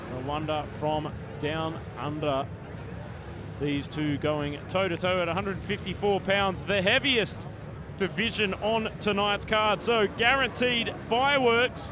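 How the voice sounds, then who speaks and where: At a fairly slow pace, a man with an Australian accent speaks in a high pitch with lively intonation and audible room echo. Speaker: fight commentator. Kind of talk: live commentary. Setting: stadium. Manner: animated.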